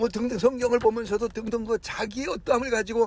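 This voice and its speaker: A man is speaking. Background noise is noticeable throughout. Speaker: pastor. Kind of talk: sermon. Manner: fast; stammering restarts.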